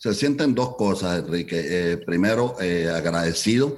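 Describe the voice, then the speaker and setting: A man with a very deep, low voice speaks at a very slow pace. His intonation is lively. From Colombia. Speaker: entertainment business founder. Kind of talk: interview.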